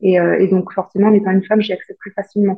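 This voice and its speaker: The woman sounds somewhat breathy, her intonation monotone and flat. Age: 30s. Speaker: aircraft painter. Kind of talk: interview.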